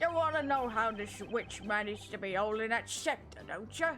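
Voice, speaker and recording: A female-sounding put-on character voice cackles at a fairly high pitch and a moderate pace over clear background noise. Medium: virtual streamer. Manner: brash, crude, cackling.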